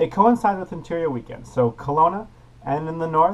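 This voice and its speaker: Fairly quick and upbeat, a man speaks in a fairly high voice over noticeable background noise. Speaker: youth parliament premier. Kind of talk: casual vlog to camera.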